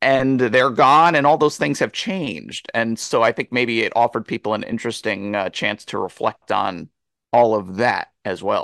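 Speaking in a normal speaking voice with an American accent, a man keeps a medium pitch, ordinary pitch variation and a moderate pace, recorded dry and close with no echo against a quiet background. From US Northeast, near New Jersey. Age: 40s. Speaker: film critic and author. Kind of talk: interview.

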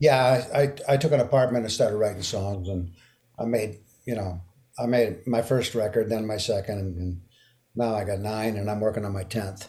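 A man speaks at a moderate pace with a fairly low pitch and ordinary pitch variation. His tone is dark, mellow and somewhat breathy. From Quebec, Canada. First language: French. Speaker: singer-songwriter and guitarist. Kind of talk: casual interview. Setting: remote call from Memphis.

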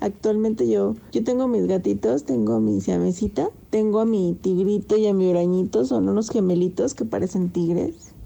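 A woman speaks at a moderate pace with very even loudness, very wide pitch swings and hardly any pauses. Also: medium pitch for a woman. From Mexico, Zacatecas. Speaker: pet owner, quality department worker. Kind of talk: personal anecdote, casual.

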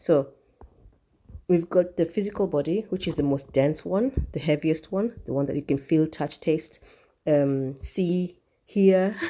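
A woman speaks with a very deep, low pitch and a dark, mellow tone. Her pitch varies in an ordinary way. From Kenya. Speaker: spiritual podcast host. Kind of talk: solo spiritual talk. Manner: casual, meandering with fillers.

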